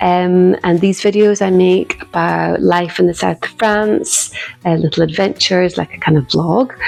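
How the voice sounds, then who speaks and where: A woman with a Scottish accent at a fairly slow pace, against noticeable background noise. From Scotland. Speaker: watercolour artist and knitting vlogger. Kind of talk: casual vlog chat.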